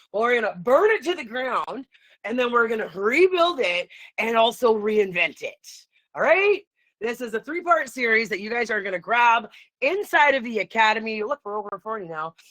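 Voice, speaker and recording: Loud and animated, the voice moves at a moderate pace with very wide pitch swings. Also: woman, fairly high pitch for a woman. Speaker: online coach. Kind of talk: livestream. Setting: live video stream.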